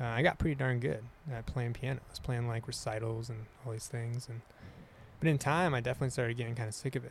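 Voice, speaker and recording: Talking at a very fast pace, a man with a medium pitch sounds somewhat breathy and keeps his intonation fairly even. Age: 30s. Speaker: musician and outdoorsman. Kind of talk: casual chat.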